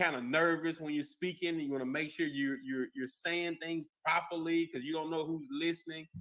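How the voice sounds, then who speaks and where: A man with a Mississippi accent speaks in a bright, sharp tone at a fairly high pitch. His intonation stays fairly even, at a moderate pace with hardly any pauses. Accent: country twang, Mississippi. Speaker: podcast host. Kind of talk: casual interview chat.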